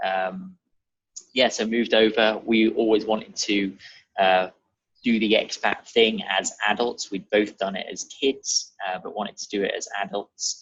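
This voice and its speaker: A man with a British accent talks at a moderate pace and a medium pitch. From Germany (Munich) and England (near Reading). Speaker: real estate advisor. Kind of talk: podcast interview.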